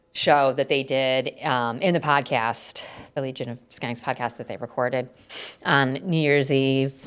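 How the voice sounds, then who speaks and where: This woman has an American accent and a very deep, low pitch. She speaks at a fairly slow pace on a very clean recording with a silent background. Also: big swings in loudness. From upstate New York, Lake George area. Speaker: podcast co-host. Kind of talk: casual chat. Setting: home studio loft.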